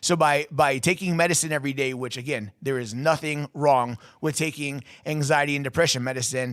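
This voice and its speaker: Fairly high male voice at a fairly quick pace with ordinary pitch variation. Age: 30s. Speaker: podcast host and inspirational speaker. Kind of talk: personal testimony. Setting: studio. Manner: fast.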